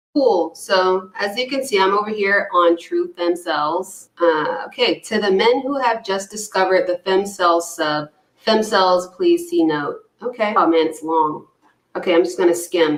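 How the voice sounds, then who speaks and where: This woman's voice sits at a medium pitch. She talks at a moderate pace. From US South, Georgia. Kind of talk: casual commentary, reading posts aloud.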